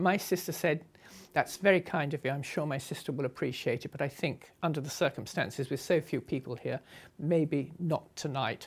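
A woman with a southern English accent speaks at a moderate pace in a very deep, low voice, recorded very cleanly against a silent background. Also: ordinary pitch variation. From southern England, Sussex. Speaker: motorcycle traveller. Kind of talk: interview storytelling.

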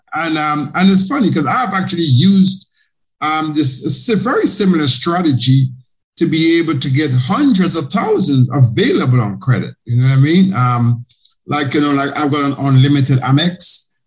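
At a moderate pace, a man with a fairly high, somewhat breathy voice talks with ordinary pitch variation. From Caribbean. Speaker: podcast host, accountant. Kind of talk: interview podcast.

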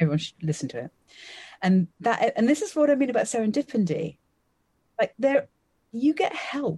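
A dark, mellow tone with vocal fry and very wide pitch swings, in a southern English accent at a moderate pace, dry and close with no echo. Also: woman. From Essex, England. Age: 50s. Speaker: magician. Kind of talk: interview.

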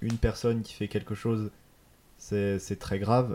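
Fairly slow, monotone male speech, fairly low in pitch, with a dark, mellow tone and flat intonation. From Paris suburbs (Hauts-de-Seine). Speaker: film student. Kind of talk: casual chat.

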